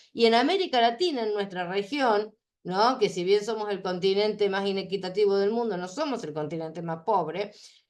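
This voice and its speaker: This woman has a normal speaking voice at a medium pitch. She talks at a fairly quick pace with ordinary pitch variation. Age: 60s. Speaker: conference speaker on aging. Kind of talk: conference talk. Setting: online conference.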